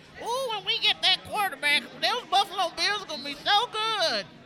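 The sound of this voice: A put-on character voice at an extremely high pitch moves at a moderate pace over clear background noise.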